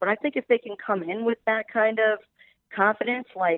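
With an unremarkable speaking voice, a woman talks at a fairly quick pace with ordinary pitch variation. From Maryland. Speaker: sports broadcaster. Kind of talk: casual chat.

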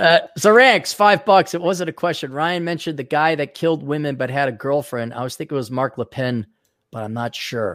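A man's fairly high voice with an Upper Midwest accent, animated in tone and lively in intonation, at a fairly quick pace on a very clean recording with a silent background. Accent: Upper Midwest American. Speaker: podcast host and author. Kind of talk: casual chat.

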